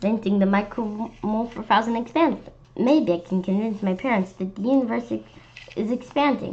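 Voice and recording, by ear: Someone is reading aloud in a natural voice. The pitch varies in an ordinary way.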